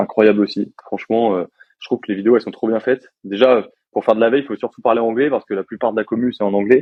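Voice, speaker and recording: This man has a medium pitch and fairly even intonation, and he talks at a very fast pace. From France. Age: 20s. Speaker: software developer. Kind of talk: casual interview. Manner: casual, many hesitations.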